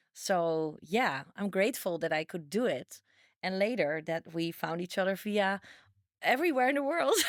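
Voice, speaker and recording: A woman talks with a Dutch accent and lively intonation. The recording is very clean, with a silent background. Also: medium pitch for a woman, moderate pace. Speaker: dating coach. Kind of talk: casual chat.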